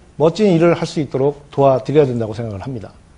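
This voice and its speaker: Somewhat breathy and dark, mellow in tone, a man's voice makes very wide pitch swings. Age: 50s. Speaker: election candidate. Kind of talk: televised debate.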